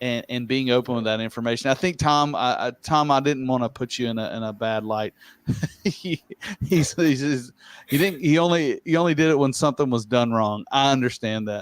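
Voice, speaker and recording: Fairly quick delivery from a man, pitched in the medium range. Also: ordinary pitch variation. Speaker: livestream host and tile technical director. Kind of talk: live-streamed casual chat. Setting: livestream. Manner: fast; animated.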